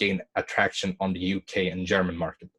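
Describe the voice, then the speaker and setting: At a moderate pace, a man with a non-native accent is heard in a dry, close sound with no echo and a quiet background. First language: not English. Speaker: online business coach. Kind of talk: webinar tutorial with screen share. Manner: halting, self-correcting.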